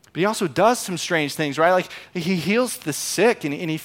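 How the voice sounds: Lively intonation in a natural reading voice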